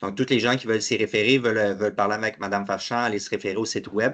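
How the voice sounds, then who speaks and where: A man's fairly low voice at a very fast pace. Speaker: webinar host, payment company representative. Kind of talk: webinar presentation. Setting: online webinar.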